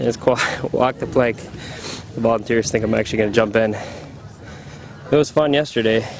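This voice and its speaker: Noticeable background noise surrounds a man's voice. He speaks at a medium pitch with fairly even intonation. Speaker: obstacle race competitor. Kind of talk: walking tour narration. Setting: outdoors. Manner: fast.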